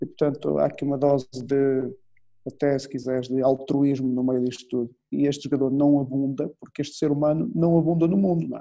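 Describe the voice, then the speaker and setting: This man's voice is fairly high in pitch. He talks at a fairly quick pace with fairly even intonation. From Portugal. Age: 40s. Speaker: football coach. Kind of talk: interview. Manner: halting.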